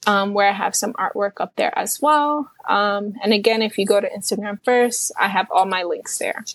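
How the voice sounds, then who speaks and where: A woman with a fairly high pitch talks at a moderate pace with hardly any pauses and ordinary pitch variation, in an unremarkable speaking voice. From New York City, Puerto Rican roots. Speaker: self-taught painter. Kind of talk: casual interview.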